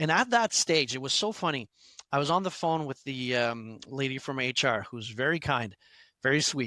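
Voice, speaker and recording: A man with a Quebec accent and a bright, sharp tone speaks at a medium pitch and a moderate pace, in a dry, close sound with no echo. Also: very clean recording, silent background. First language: French. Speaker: instructional designer, former fitness instructor. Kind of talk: interview. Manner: halting, many fillers and restarts.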